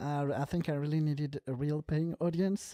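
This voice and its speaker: Speaking at a moderate pace with a non-native accent, a woman uses a very deep, low pitch and a dark, mellow tone with fairly even intonation, recorded dry and close with no echo in a very clean recording with a silent background. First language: not English. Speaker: film podcast co-host, actor. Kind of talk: casual chat. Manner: halting, many fillers.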